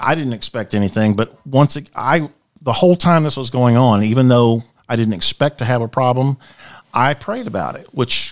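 With an American accent, a man speaks at a fairly quick pace in a normal speaking voice, his medium pitch moving with lively intonation, the sound dry and close with no echo. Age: 60s. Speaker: former chaplain and police officer. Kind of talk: testimony. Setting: studio.

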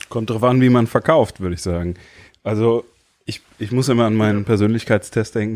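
A man with a plain, everyday voice speaks at a moderate pace. His pitch is fairly low and his intonation fairly even. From Germany, Limburg (Hesse). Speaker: pastor. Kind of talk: casual chat.

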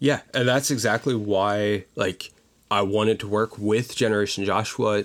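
A man with an American accent speaks at a moderate pace in an ordinary speaking voice. His pitch is fairly low, and his intonation stays fairly even. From Pennsylvania, Pottsville (Schuylkill County coal region). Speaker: youth civics program administrator. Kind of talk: casual interview conversation.

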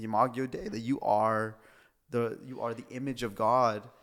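On a very clean recording with a silent background, a man talks at a medium pitch. His is a plain, everyday voice. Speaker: pastor. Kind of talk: casual chat.

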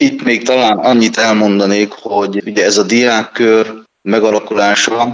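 Fairly low in pitch and fairly even in intonation, a man talks in a plain, everyday voice. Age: 40s. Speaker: deputy mayor. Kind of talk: interview. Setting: phone call.

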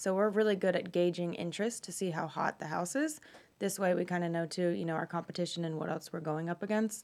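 The speech comes at a very fast pace with an American accent. The intonation stays fairly even. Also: woman, fairly low pitch for a woman. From North Carolina, Cornelius. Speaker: real estate broker. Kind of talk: casual radio interview. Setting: radio studio.

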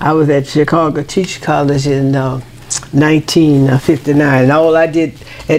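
A woman's very deep, low voice with an American accent at a fairly slow pace, amid noticeable background noise. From Louisiana, US South. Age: 90s. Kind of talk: casual interview chat. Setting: at her home. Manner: lively, energetic, playful.

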